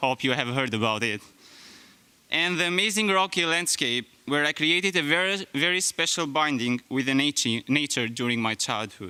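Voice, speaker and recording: Over a silent background in a very clean recording, a man with an Albanian accent speaks at a moderate pace with a fairly high pitch, lively intonation, a bright, sharp tone, and very even loudness. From Albania (Skrapar, then Tirana). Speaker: graduating student. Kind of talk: speech.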